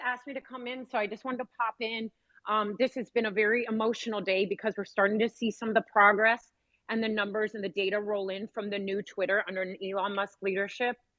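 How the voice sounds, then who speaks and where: This woman talks at a very fast pace. Her pitch is fairly high. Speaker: survivor advocate. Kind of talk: casual chat. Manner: hesitant, many fillers.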